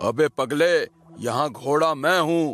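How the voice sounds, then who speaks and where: Cackling in a put-on character voice, a man pitches himself fairly high as faint music plays in the background. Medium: cartoon. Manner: mocking, cackling.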